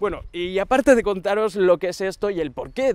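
Against a quiet background, a man speaks with ordinary pitch variation in a dry sound with no echo. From Andalusia, Huelva; Andalusia. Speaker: tech YouTuber. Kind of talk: casual vlog address to viewers. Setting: outdoors on a long avenue. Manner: hesitant, many fillers. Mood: warm, grateful. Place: garden.

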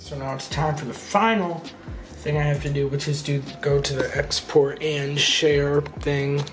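Clear music plays in the background as a man talks at a moderate pace. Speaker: youtuber. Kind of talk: casual vlog chat. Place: home room.

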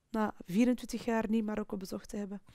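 A dark, mellow tone at a moderate pace with fairly even intonation and a quiet background. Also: woman. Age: 40s. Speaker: sales professional. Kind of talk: personal testimony interview. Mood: personal, reflective storytelling. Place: studio.

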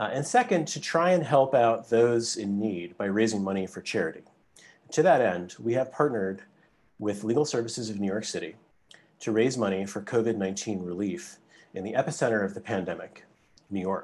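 The intonation is lively. A man delivers his words at a fairly quick pace. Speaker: host law professor. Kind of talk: prepared welcome remarks. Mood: light but earnest. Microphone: video call.

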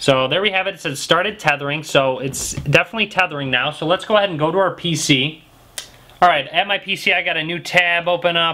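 At a fairly quick pace, a man speaks in a high pitch. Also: ordinary pitch variation. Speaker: tech tutorial maker. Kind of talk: tutorial. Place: home room.

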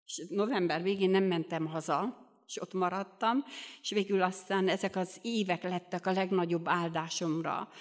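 A woman talks in a normal speaking voice at a medium pitch and moderate pace. Her intonation is fairly even, and the background is quiet. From Romania, Bihor region (Hungarian minority); Romania. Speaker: lay preacher at a Baptist youth meeting. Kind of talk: sermon. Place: church. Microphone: studio mic.

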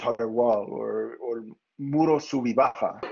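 In an American accent, a man talks at a very slow pace. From US Southwest, San Luis Valley, Colorado. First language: English (speaking Spanish). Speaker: architect and professor. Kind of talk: lecture. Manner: halting.

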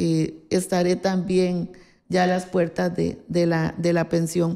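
A woman's dark, mellow tone stands out over a quiet background. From Costa Rica, Alajuela; Costa Rica. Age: 60s. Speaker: politician. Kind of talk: interview. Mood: calm, reminiscing. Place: office.

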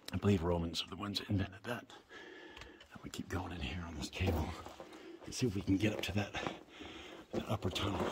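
Over noticeable background noise, a man speaks at a fairly low pitch with ordinary pitch variation. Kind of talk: casual exploring commentary. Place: tunnel cave. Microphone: phone near.

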